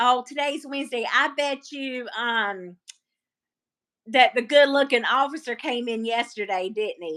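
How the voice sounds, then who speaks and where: With a Southern US accent, a woman speaks at a high pitch and a moderate pace in a bright, sharp tone. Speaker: live stream host. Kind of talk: casual chat. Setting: live stream.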